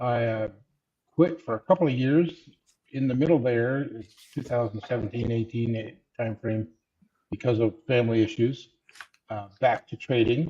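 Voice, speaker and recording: A somewhat breathy, dark, mellow tone with ordinary pitch variation and long, frequent pauses. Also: man, medium pitch for a man, moderate pace. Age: 70s. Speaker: retired physician, retail options trader. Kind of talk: panel self-introduction.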